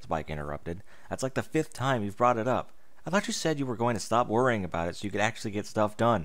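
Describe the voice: Lively intonation in a plain read-aloud delivery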